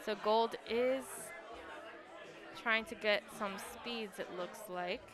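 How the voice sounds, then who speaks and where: With music in the background and audible room echo, a woman speaks very slowly in a fairly high voice with fairly even intonation. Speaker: esports commentator. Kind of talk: live commentary. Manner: monotone.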